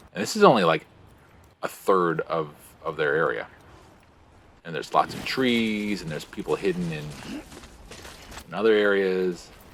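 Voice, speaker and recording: A man at a moderate pace, with long, frequent pauses, big swings in loudness and noticeable background noise. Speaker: gaming streamer. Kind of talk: let's play commentary. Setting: live stream. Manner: speaking very quietly.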